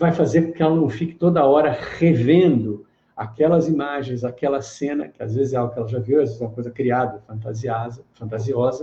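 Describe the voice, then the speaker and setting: Fairly quick, somewhat breathy speech from a man, fairly high in pitch, dark and mellow in tone, with lively intonation. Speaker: therapist and meditation teacher. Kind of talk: live online lecture.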